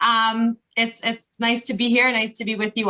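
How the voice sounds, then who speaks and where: At a moderate pace, a woman speaks in a bright, sharp tone and a fairly high pitch. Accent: Canadian. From Montreal, Canada. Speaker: cooking instructor. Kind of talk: cooking demo talk. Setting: video call. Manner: casual, filler-heavy.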